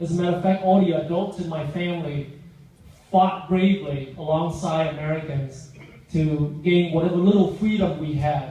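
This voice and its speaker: Over noticeable background noise and audible room echo, a man with a Vietnamese accent speaks at a fairly high pitch and a moderate pace with fairly even intonation. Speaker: guest speaker, business owner. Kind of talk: public speech.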